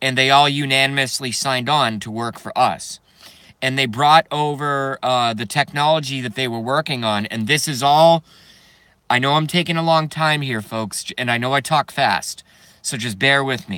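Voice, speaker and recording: In a very clean recording with a silent background, the speaker has a bright, sharp tone and an American accent. The pace is moderate and the pitch varies in an ordinary way. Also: man, medium pitch for a man. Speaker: video blogger. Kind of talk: casual monologue rant.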